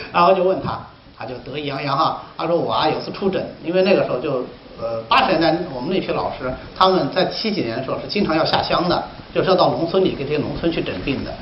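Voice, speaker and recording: A man with a high pitch, a very fast pace, an animated tone and lively intonation, amid noticeable background noise and audible room echo. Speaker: Chinese medicine teacher. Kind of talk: lecture.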